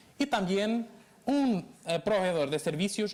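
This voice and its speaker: A man with a Portuguese accent at a moderate pace, his pitch swinging very widely. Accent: non-native Spanish, Portuguese. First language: Portuguese (speaking Spanish). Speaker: law lecturer. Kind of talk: lecture. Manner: halting.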